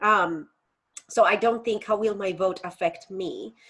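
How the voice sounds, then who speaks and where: The speaker is a woman with a Colombian accent. Her pitch is medium. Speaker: faith educator and activist. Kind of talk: interview conversation.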